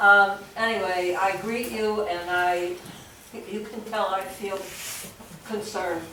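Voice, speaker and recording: A woman talks at a fairly slow pace with a medium pitch. Noticeable background noise and audible room echo fill the recording. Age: 80s+. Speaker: audience member at public forum. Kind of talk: public forum comment. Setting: public forum with audience.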